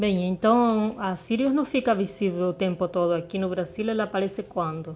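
Her pitch varying in an ordinary way, a woman holds a medium pitch and a moderate tempo as she speaks. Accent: Spanish. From southern Argentina. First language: Spanish (speaking Portuguese). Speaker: science podcast co-host. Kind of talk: casual educational chat.

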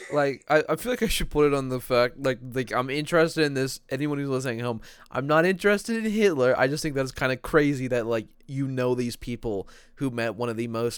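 On a very clean recording with a silent background, a man with a medium pitch sounds animated, talking at a fairly quick pace with lively intonation. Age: young. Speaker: podcast host. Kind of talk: casual chat.

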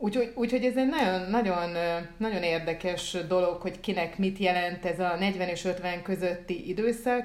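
Here a woman speaks in a normal speaking voice at a medium pitch. Her pace is moderate, with ordinary pitch variation. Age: 40s. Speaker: podcast co-host, writer. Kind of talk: casual chat.

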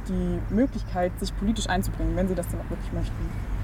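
A woman speaks over noticeable background noise. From Saxony-Anhalt, Burgenlandkreis (rural eastern Germany). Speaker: youth political organization spokesperson. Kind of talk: interview.

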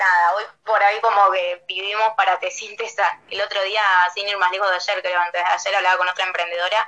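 Speaking with a Rioplatense accent, a woman has a medium pitch, a bright, sharp tone and fairly even intonation. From Buenos Aires province, Argentina. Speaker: small business owner. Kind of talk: casual interview.

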